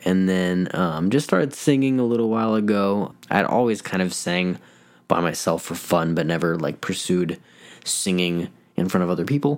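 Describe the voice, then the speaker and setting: This man talks at a moderate pace with a fairly low pitch and an American accent. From Colorado. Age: 20s. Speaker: podcast host and life coach. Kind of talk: casual monologue.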